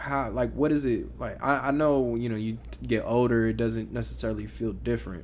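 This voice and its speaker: A man speaks at a moderate pace. Audible room echo fills the recording. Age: 20s. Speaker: podcast co-host. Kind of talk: casual chat.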